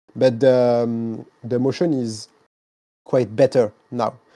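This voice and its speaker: A man's medium-pitched voice with a French accent, a dark, mellow tone and a quiet background. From France. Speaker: sim racing content creator. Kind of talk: casual interview. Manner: halting.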